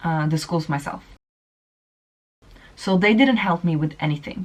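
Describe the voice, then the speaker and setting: A Swedish accent with ordinary pitch variation. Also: woman. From Sweden. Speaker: vlogger. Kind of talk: casual chat.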